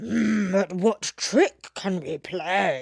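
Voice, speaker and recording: Put on as a character voice, this growling delivery sits at a middle pitch. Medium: read story.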